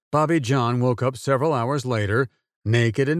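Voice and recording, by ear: Reading aloud in a natural voice, the speaker shows ordinary pitch variation with a quiet background.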